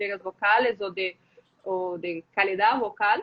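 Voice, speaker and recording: Here a woman is speaking. She talks at a fairly slow pace. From Brazil. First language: Portuguese (speaking Spanish). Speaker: voice specialist, speech therapist. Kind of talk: live interview. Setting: live video stream. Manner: halting.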